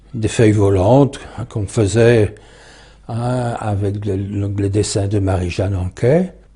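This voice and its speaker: A man talks very slowly, his pitch fairly low and its variation ordinary. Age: 80s+. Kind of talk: interview, autobiographical recollection. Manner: halting, many hesitations.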